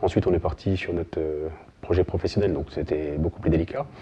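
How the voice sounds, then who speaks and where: A man's voice comes out somewhat breathy. He talks very fast, with ordinary pitch variation. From France, Burgundy (Côte-d'Or). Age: 40s. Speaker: sports club volunteer president. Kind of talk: interview testimony.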